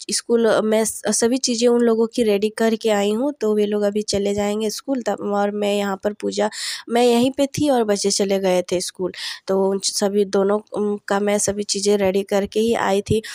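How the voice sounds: A woman's dark, mellow voice at a medium pitch, with little pitch movement and few pauses. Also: moderate pace, dry, close sound with no echo.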